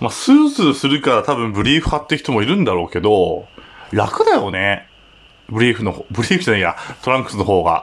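The speaker moves at a fairly quick pace, with very wide pitch swings. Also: man, medium pitch for a man. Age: 30s. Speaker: podcaster. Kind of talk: solo casual talk. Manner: relaxed.

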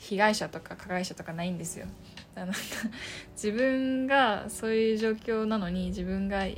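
Audible room echo accompanies a woman speaking at a moderate pace. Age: 20s. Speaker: podcaster. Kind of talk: casual solo talk. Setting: home room. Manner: halting.

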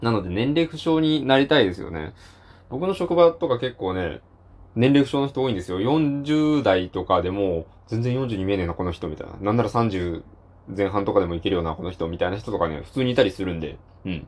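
Over a quiet background, a man talks at a fairly quick pace, his fairly low pitch making very wide swings. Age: 20s. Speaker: solo podcaster, engineer. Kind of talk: casual solo talk.

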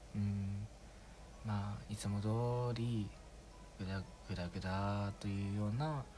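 A fairly low-pitched man at a very slow pace, with long, frequent pauses, very even loudness and ordinary pitch variation, over music in the background. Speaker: amateur podcaster. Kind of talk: casual monologue. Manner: relaxed and subdued, not projecting; halting, many fillers.

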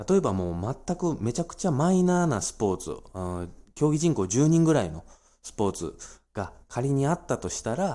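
Recorded very cleanly against a silent background, a man with a dark, mellow tone talks at a moderate pace with very wide pitch swings. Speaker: financial planner podcaster. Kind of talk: solo talk monologue. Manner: many filler hesitations.

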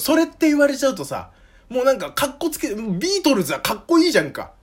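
At a very fast pace, a man speaks with an extremely high pitch. His pitch swings very widely. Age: 20s. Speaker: podcast host. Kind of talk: casual monologue. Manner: casual, hesitant with fillers.

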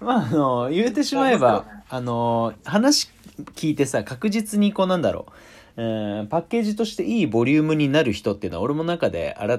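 In a very clean recording with a silent background, a man speaks at a fairly quick pace. His pitch swings very widely. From Tokyo, Japan. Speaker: podcast host. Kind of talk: casual chat.

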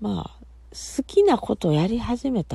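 With a Kansai accent, a woman speaks at a fairly slow pace. Her tone is relaxed. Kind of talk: casual solo talk. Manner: relaxed, chatty.

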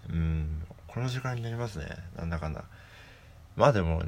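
Speaking with ordinary pitch variation, a man has a very deep, low pitch. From Hokkaido, Japan. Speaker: musician and podcaster. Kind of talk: solo casual talk. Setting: at home. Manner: calm.

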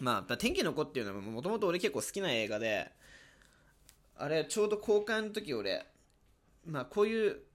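A man speaks at a fairly quick pace with very wide pitch swings and vocal fry. The recording is very clean, with a silent background. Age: 20s. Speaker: university student. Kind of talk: casual solo monologue.

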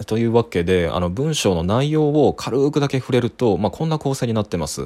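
Over a silent background in a very clean recording, a man speaks with very wide pitch swings. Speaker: critic doing a daily voice memo podcast. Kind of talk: solo monologue voice memo. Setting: living room at night while housemate sleeps. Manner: calm, composed.

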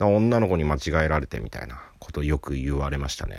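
Very deep and low in pitch, a man talks at a fairly quick pace with lively intonation. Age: 30s. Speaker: comedian. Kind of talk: casual solo talk. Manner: laughing often.

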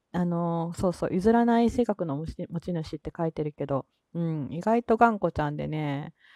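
A woman's fairly low voice in a Kansai accent, relaxed in tone, dark and mellow, with lively intonation and a dry, close sound with no echo. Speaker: solo podcaster. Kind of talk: casual solo talk. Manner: relaxed, laid-back; frequent laughter.

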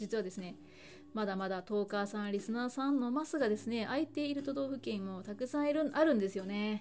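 Amid noticeable background noise, a woman with a fairly high pitch talks at a fairly quick pace with lively intonation. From Hyogo, Japan. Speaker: podcast host. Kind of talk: solo talk podcast.

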